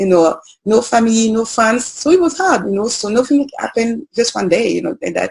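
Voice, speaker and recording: With lively intonation, a woman speaks in a French accent. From French Guiana. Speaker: journalist and media founder. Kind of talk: interview. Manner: hesitant, many fillers.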